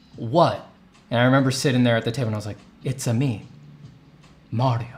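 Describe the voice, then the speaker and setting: Music plays in the background as a man speaks with an American accent. His voice is medium in pitch and his pace is moderate. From New York. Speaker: artist and art teacher. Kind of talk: live stream paint-over tutorial. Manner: casual, thinking aloud.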